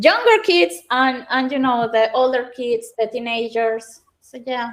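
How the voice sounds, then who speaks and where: A woman with a non-native accent speaks in a high voice at a fairly slow pace. Her pitch variation is ordinary, while her loudness swings widely. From Venezuela. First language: Spanish. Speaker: tech educator and speaker. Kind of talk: online panel chat. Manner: halting with repetitions.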